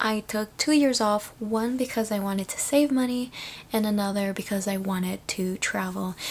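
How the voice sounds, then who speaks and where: Speaking at a moderate pace, a woman with a fairly high, somewhat breathy voice shows ordinary pitch variation. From Canada, Toronto (immigrated from Philippines at about 10). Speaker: vlogger. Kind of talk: casual chat. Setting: at home, at night. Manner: soft-spoken.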